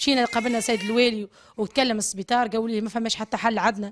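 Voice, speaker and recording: A woman talks at a fairly quick pace with a fairly high pitch. Light background noise can be heard. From Tunisia. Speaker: mother of a sick baby. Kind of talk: testimony. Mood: distressed, pleading. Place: home room. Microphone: handheld.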